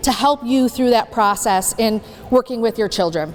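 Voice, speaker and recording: Loud and animated, a woman speaks against noticeable background noise. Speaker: transition specialist speaking at a community panel. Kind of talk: presentation to an audience.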